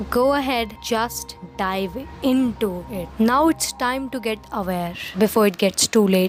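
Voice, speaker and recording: A woman's fairly high voice at a fairly slow pace, with music in the background. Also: ordinary pitch variation. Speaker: movie and show reviewer. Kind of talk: review talk to camera. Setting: low-quality recording.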